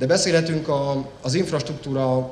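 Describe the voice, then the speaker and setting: Light background noise and audible room echo surround a man speaking at a fairly high pitch with ordinary pitch variation. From Hungary. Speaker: member of parliament. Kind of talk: formal speech. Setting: company jubilee event with audience. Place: hall. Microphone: podium.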